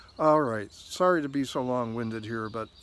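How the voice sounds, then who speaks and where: Medium in pitch, this man talks at a moderate pace. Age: 60s. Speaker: video blogger. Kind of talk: personal reflection monologue. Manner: halting, many fillers and repetitions.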